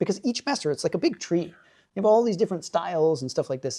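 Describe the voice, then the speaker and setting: Talking at a very fast pace, a man with an American accent has a high-pitched voice, a dark, mellow tone, and lively intonation. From United States. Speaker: Zen Buddhist monk. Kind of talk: interview answer. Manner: casual, conversational.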